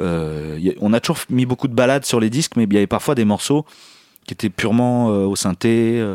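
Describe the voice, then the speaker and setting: At a moderate pace, a man with a medium pitch talks with lively intonation, the sound dry and close with no echo. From France, Picardy (Saint-Quentin). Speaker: musician. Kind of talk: casual interview. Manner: halting.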